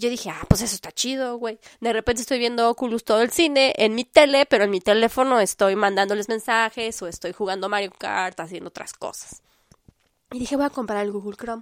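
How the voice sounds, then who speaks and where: A woman with a Mexican accent speaks at a fairly quick pace in a fairly high pitch with ordinary variation. Her tone is animated, her loudness swings widely, and the sound is dry and close with no echo. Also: very clean recording, silent background. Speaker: podcast host. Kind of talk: casual monologue.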